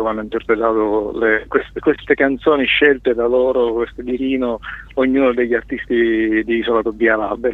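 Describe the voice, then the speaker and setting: A man with a medium pitch talks at a fairly quick pace in a monotone, flat intonation against noticeable background noise. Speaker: record label founder and singer-songwriter. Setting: phone call.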